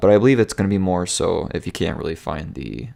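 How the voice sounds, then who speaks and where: In a very clean recording with a silent background, a man speaks at a very fast pace. His voice is very deep and low, with vocal fry. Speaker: gaming YouTuber. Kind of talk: casual video update. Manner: hesitant with fillers.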